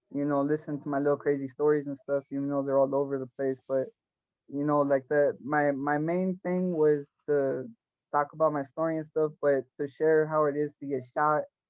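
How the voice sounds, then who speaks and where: In a dry, close recording with no echo, a man with an American accent speaks at a fairly high pitch in a monotone, flat intonation. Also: moderate pace. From Los Angeles area, California. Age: 20s. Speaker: former gang member, shooting victim. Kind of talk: interview. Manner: halting, many fillers and repetitions.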